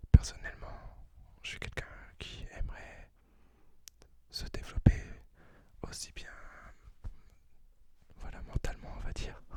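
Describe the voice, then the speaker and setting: A man whispering at a fairly slow pace, with big swings in loudness and long, frequent pauses. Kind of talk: ASMR talk to camera. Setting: close to the microphone. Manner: whispered.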